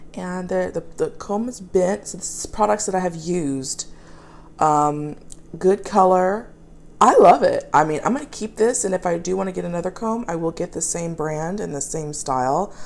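At a moderate pace, a woman speaks with ordinary pitch variation and big swings in loudness. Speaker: pet owner reviewing products. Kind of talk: casual product review. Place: kitchen. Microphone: phone near.

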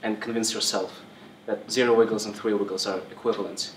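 A man's voice comes through with audible room echo and a light layer of background noise. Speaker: presenter. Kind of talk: lecture. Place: classroom. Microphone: camera far.

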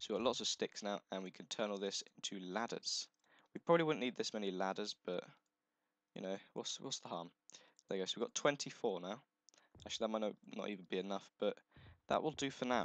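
A man at a very fast pace and fairly low pitch with ordinary pitch variation, broken by long, frequent pauses, in a dry, close sound with no echo. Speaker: gaming video creator. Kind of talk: let's play commentary. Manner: casual, halting with fillers.

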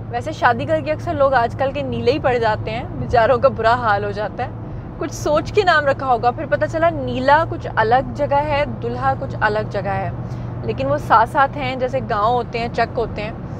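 A woman speaks at a fairly slow pace. The sound is dry with no echo, with noticeable background noise. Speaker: travel vlogger. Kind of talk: casual vlog chat. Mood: cheerful, joking. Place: car. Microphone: phone near.

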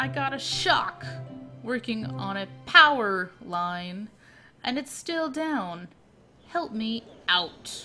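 A put-on character voice at a fairly high pitch, cackling through very wide pitch swings at a very slow pace, with long, frequent pauses and clear music in the background.

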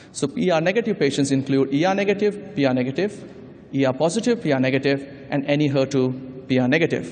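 Ordinary pitch variation and a moderate pace from a man. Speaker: conference presenter. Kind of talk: lecture. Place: hall. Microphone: podium.

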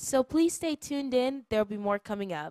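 A woman's animated tone and lively intonation, dry with no echo, over a quiet background. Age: 20s. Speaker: church program host. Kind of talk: welcome announcements; casual chat. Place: studio. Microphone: handheld.

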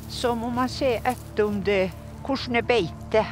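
Very slow speech with music in the background. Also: woman. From Northern Norway, Sámi. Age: 80s+. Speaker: reindeer herder. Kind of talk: documentary interview, personal story.

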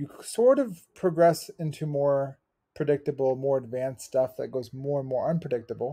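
Over a quiet background, a man speaks in a somewhat breathy voice with ordinary pitch variation. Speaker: athletic injury coach. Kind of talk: tutorial. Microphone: webcam.

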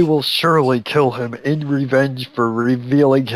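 The clip is plain reading aloud. Its intonation is fairly even.

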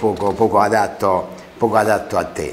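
Using fairly even intonation, a man talks at a fairly slow pace. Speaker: local dialect presenter. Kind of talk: casual explanatory talk to camera. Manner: hesitant, conversational. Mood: warm, amused. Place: studio. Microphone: lapel.

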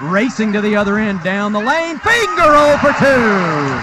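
Noticeable background noise sits behind a man's voice. He speaks in a raised, projected voice at a high pitch. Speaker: live sports commentator. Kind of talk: live play-by-play basketball commentary, rapid-fire calling of shots and passes. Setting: arena, broadcasting from the game.

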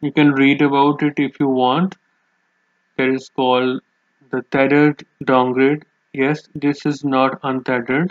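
In a dry, close recording with no echo, a man speaks at medium pitch and a fairly slow pace with little pitch movement.

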